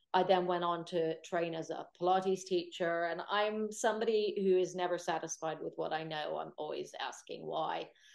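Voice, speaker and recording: A woman's fairly low-pitched, ordinary speaking voice at a moderate pace, with fairly even intonation and hardly any pauses. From United States. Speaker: Pilates teacher and sports therapist. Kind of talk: webinar Q&A.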